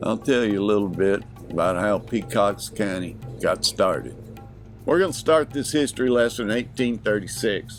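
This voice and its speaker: Over background music, a man speaks at a medium pitch and moderate pace with ordinary pitch variation. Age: 60s. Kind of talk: casual talk to camera.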